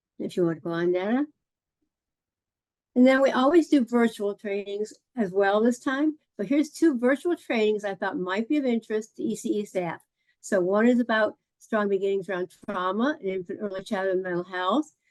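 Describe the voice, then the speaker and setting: The sound is dry and close, with no echo. A woman speaks with a fairly high pitch and lively intonation. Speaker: early childhood trainer. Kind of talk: virtual meeting presentation. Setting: video call. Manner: fast.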